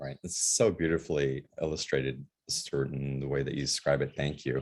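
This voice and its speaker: Vocal fry and an American accent, with fairly even intonation at a moderate pace. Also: man, very deep, low pitch for a man. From New England, US. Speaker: show host. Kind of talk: interview.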